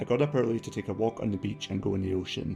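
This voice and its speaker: A man with a Scottish accent speaks with music in the background. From Scotland. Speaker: travel vlogger. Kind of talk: casual vlog talk to camera.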